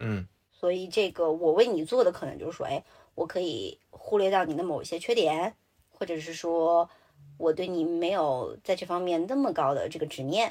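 A woman speaks at a moderate pace in a fairly low, dark and mellow voice with ordinary pitch variation, on a very clean recording with a silent background. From Sichuan, China. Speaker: podcast host. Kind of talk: casual chat. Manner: mixes English words into Mandarin.

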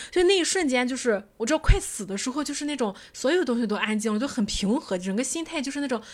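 A woman's high voice at a very fast pace with hardly any pauses and very wide pitch swings, in a very clean recording with a silent background. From Qingdao, China. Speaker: podcast host. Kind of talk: casual chat.

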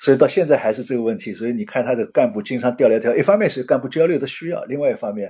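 A man speaks at a medium pitch in a dark, mellow tone, with very wide pitch swings. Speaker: retired bank executive and researcher. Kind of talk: interview.

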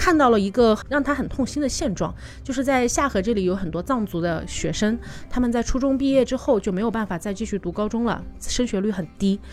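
Her fairly quick delivery has lively intonation, as a woman with a plain, everyday voice speaks at a fairly high pitch. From Changsha, Hunan. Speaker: tour leader and travel product planner. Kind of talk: casual interview chat.

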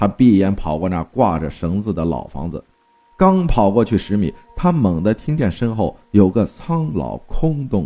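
Natural-voiced reading aloud.

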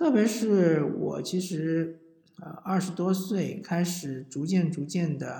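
There is audible room echo as a man speaks at a high pitch with ordinary pitch variation. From southern China. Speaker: podcast host. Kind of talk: casual monologue. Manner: hesitant, frequent fillers.

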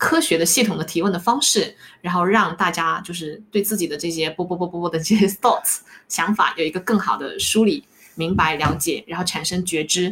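Over noticeable background noise, a woman with a fairly low pitch speaks at a fairly quick pace with ordinary pitch variation. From Fujian, China. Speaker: life coach. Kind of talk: interview.

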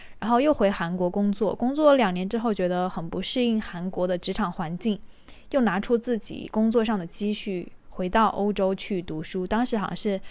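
Recorded very cleanly against a silent background, a woman of medium pitch with a normal speaking voice speaks at a moderate pace with ordinary pitch variation. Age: 20s. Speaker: podcast host. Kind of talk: casual solo monologue. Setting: recording at home while cooking.

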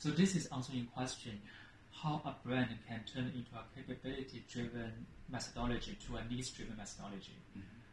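This man's medium-pitched voice has ordinary pitch variation, while his loudness swings widely. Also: fairly quick pace. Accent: Chinese. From China (Shanghai). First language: Chinese. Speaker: marketing executive. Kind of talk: interview conversation.

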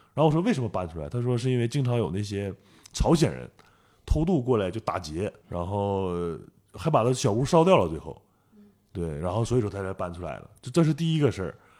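A man speaks at a fairly low pitch with a dark, mellow tone and very wide pitch swings. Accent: northeastern Chinese. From Northeast China. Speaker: photographer. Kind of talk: interview.

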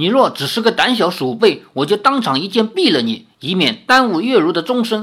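Using a put-on character voice, a man speaks at a high pitch and moderate pace with very wide pitch swings and hardly any pauses. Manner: harsh, stern.

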